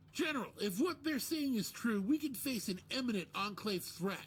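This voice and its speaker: Put-on character voice with lively intonation at a moderate pace, over light background noise. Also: man, extremely high pitch for a man. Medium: video game. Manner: formal, objecting.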